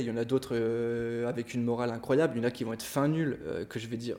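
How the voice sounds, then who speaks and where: A man speaks at a very fast pace and a medium pitch in a dark, mellow tone. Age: 20s. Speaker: art director and photographer. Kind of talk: casual chat.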